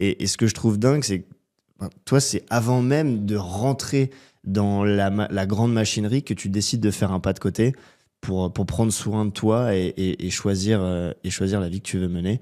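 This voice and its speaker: Over a silent background in a very clean recording, a man with a fairly low pitch and dark, mellow tone speaks at a moderate pace, with ordinary pitch variation and big swings in loudness. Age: 20s. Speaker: podcast host. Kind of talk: interview conversation.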